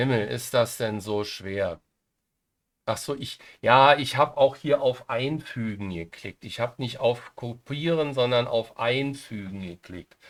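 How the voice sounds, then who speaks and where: A man speaks at a very slow pace with ordinary pitch variation. His loudness swings widely in a very clean recording with a silent background. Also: medium pitch for a man. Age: 60s. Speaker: software tutorial YouTuber. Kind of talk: screen-recorded tutorial. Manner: hesitant, many fillers.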